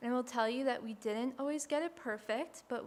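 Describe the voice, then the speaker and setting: This woman is soft-spoken and high-pitched. She talks at a fairly quick pace. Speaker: historic site educator. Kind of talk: panel presentation.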